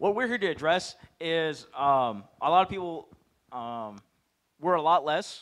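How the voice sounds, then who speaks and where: Fairly slow speech from a man, quiet all around. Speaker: presenter. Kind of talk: Q&A answer to audience. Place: hall. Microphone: handheld.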